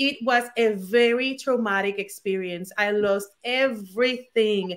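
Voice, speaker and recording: In a Puerto Rican accent, a woman speaks at a fairly slow pace with a fairly high pitch and fairly even intonation. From Puerto Rico. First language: Spanish. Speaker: former attorney turned digital entrepreneur. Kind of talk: interview. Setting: at home, video call.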